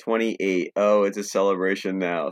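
An ordinary speaking voice comes from a man with an American accent, fairly low in pitch, speaking at a fairly slow pace with fairly even intonation. The sound is dry and close with no echo, and the recording is very clean over a silent background. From New Jersey, Trenton area. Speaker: podcast co-host and music fan. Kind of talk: casual chat.

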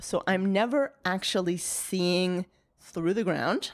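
Here is a woman with a normal speaking voice and an American accent. Her pitch is medium and her pace moderate. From Maine, US. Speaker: archaeology professor. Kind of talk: interview. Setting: in person.

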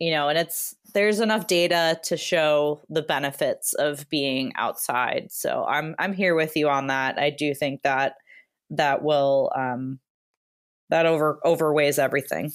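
Recorded very cleanly against a silent background, a woman with an American accent speaks at a fairly slow pace in a very deep, low pitch, with ordinary pitch variation and very even loudness. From Wisconsin. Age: 30s. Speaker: hiker and content creator. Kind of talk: casual interview.

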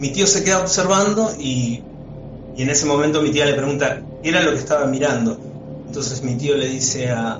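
A man with a fairly high pitch and ordinary pitch variation talks at a fairly quick pace, with noticeable background noise. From Argentina, Buenos Aires. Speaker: podcast guest telling paranormal stories. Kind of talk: storytelling. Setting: phone call. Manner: halting.

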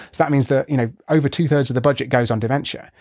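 With a British accent, a man speaks at a medium pitch and a very fast pace. His intonation is fairly even. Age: 30s. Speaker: scientist and author. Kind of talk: interview.

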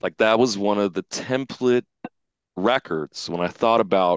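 A man with an ordinary speaking voice, medium in pitch, talks at a fairly slow pace with lively intonation, recorded dry and close with no echo. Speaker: audio mastering engineer. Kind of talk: casual interview chat.

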